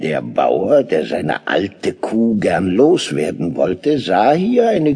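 A man speaks at a very slow pace. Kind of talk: audiobook dramatization of a fairy tale, narrated. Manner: dramatic, storytelling, vivid, lively.

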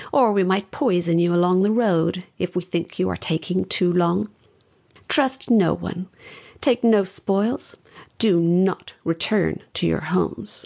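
Growling in a put-on character voice, a woman speaks at a fairly slow pace and fairly low pitch with ordinary pitch variation. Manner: angry, threatening.

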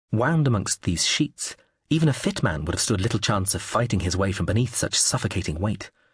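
A somewhat breathy, dramatic and sinister voice, fairly quick in pace, with ordinary pitch variation. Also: man. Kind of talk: audiobook narration of a novel, first-person and third-person scenes read aloud.

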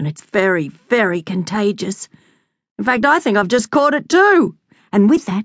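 With an Australian accent, a woman speaks in very wide pitch swings. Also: dry, close sound with no echo. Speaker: audiobook narrator. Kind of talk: dramatic narration of a children's story, reading aloud with character voices. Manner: animated; playful, exaggerated, comic.

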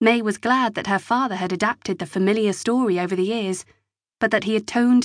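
This is a natural reading voice with ordinary pitch variation. The background is quiet.

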